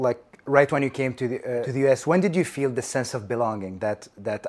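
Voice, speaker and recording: This man speaks at a medium pitch with an Arabic accent. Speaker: podcast host. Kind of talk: interview conversation.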